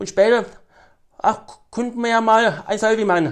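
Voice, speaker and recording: A man's high pitch with fairly even intonation. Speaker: autograph hunter and collector. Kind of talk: interview. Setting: outdoors by a lake. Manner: halting.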